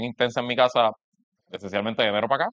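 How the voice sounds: A man's medium-pitched voice with a fairly bright tone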